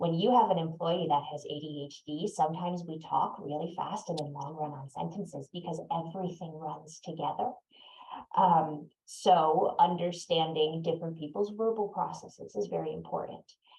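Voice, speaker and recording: A woman with a fairly low pitch speaks somewhat breathily at a moderate pace, with ordinary pitch variation and big swings in loudness. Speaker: neurodiversity consultant. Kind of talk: webinar talk. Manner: pauses.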